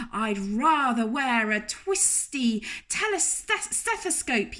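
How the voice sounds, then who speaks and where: Very slowly, she delivers her lines at a high pitch in a put-on character voice. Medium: read story.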